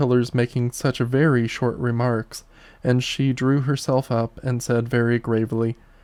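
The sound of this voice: This is an unforced reading voice. The reading comes across as unforced.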